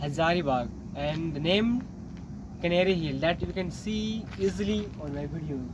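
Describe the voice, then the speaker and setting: An Indian accent at a moderate pace with ordinary pitch variation. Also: man, high pitch for a man. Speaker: English-learning vlogger. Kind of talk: casual travel vlog talk to camera.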